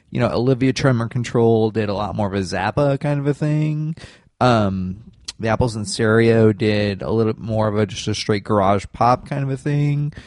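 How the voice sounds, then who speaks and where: Over a quiet background, a man with an American accent talks at a moderate pace, with medium pitch and ordinary pitch variation. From Michigan. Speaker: entertainment reporter. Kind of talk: casual chat.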